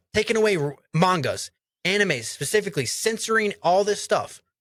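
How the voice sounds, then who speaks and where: A man speaks loudly at a high pitch in an animated tone. His pitch variation is ordinary. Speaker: anime podcast co-host. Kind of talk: casual chat. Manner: loud, projecting voice.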